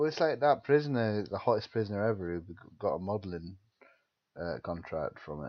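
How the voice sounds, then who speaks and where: A man with a fairly low pitch speaks at a fairly quick pace, with very wide pitch swings and big shifts in loudness. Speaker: podcast co-host. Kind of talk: casual chat.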